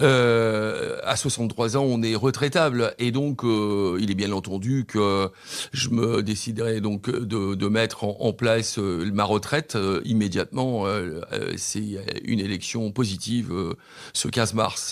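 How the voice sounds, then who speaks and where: A man at a very slow pace, medium in pitch, with ordinary pitch variation. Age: 60s. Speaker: mayoral candidate. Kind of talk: radio interview. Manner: halting, many hesitations.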